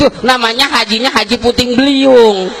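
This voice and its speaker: A man with a Jakarta accent speaks at a fairly slow pace over noticeable background noise. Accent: Betawi. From Karawang, West Java. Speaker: Islamic preacher. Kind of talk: humorous religious sermon. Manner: humorous.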